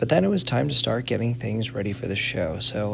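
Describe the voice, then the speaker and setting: There is noticeable background noise behind a man's voice. He has a medium pitch and lively intonation. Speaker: wrestling ring announcer. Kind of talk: vlog voiceover narration. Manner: casual.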